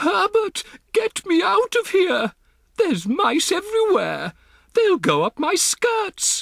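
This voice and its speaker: A man puts on a shrill character voice at an extremely high pitch, speaking at a fairly slow pace. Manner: screaming, frantic.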